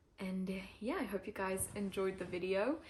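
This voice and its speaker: At a fairly quick pace, a woman talks in a somewhat breathy voice of medium pitch. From Switzerland, French part. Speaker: climber and YouTuber. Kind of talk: casual Q&A vlog. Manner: informal with many fillers.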